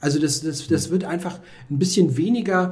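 A man at a moderate pace with ordinary pitch variation, with audible room echo and noticeable background noise. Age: 40s. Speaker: chess author. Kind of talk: casual chat.

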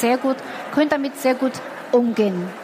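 A woman with a Chinese accent speaks at a moderate pace and a high pitch. Noticeable background noise runs under her voice. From China. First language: Chinese (speaking German). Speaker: entrepreneur. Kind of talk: interview. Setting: stage with audience.

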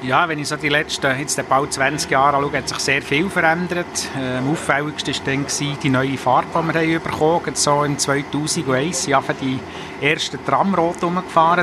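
Noticeable background noise sits behind a man speaking. He keeps a moderate pace and fairly even intonation. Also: fairly high pitch for a man. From Bern, Switzerland. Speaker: transit company CEO. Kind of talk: interview. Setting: in a tram.

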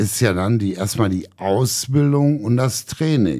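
A man speaks with lively intonation and a dark, mellow tone. The recording is very clean, with a silent background. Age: 50s. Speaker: soldier and shooting instructor. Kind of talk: casual interview.

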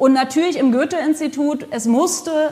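There is noticeable noise in the background. A woman talks at a moderate pace. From Germany, Potsdam. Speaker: cultural institute director. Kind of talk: interview. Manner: frequent fillers (äh, ähm).

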